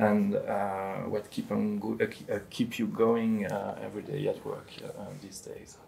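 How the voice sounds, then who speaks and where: With a French accent, a man speaks at a fairly slow pace and hardly any pauses. His loudness swings a lot. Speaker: addiction policy professional, moderator. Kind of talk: panel discussion. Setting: recorded video discussion. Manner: hesitant, many fillers; carefully articulated.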